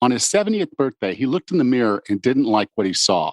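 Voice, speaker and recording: With a normal speaking voice, a man at medium pitch uses lively intonation, recorded dry and close with no echo against a quiet background. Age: 50s. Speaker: fitness podcast host. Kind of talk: podcast interview; scripted introduction.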